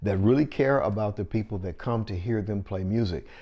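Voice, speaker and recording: A man's fairly low-pitched voice with ordinary pitch variation, a dark, mellow tone and a fairly quick pace, on a very clean recording with a silent background. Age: 70s. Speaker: saxophonist and music teacher. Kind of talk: interview conversation.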